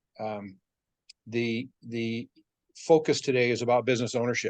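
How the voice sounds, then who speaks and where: A man at a medium pitch, monotone and flat in intonation, at a moderate pace against a quiet background. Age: 70s. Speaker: business motivational speaker. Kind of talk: motivational talk.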